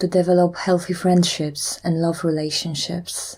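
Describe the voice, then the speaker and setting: A woman speaks with a fairly low pitch and a dark, mellow tone that is somewhat breathy. Her pace is fairly slow. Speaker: EFT tapping guide. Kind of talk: guided tapping session.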